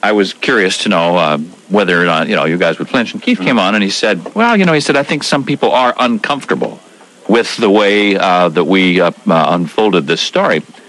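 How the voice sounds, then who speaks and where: A man at a fairly quick pace with lively intonation, amid noticeable background noise. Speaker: radio morning show host. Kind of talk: call-in talk radio. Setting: radio studio.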